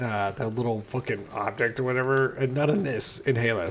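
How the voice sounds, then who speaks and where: In an American accent, a man speaks at a medium pitch with ordinary pitch variation. Noticeable background noise is present. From West Texas. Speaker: gaming streamer. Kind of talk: casual chat while gaming.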